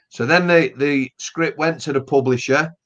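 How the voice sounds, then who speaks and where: This man has a Yorkshire accent. His voice is fairly high, with ordinary pitch variation. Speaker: author. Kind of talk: casual chat.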